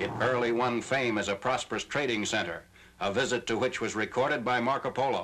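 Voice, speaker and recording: A man in an ordinary speaking voice, medium pitch and moderate pace. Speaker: newsreel narrator. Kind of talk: newsreel narration.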